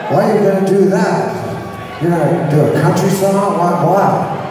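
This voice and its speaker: A high-pitched man talks at a moderate pace with fairly even intonation and very even loudness. Strong room echo and noticeable background noise fill the recording. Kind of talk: stage banter. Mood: joking, cheeky, profane. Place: hall.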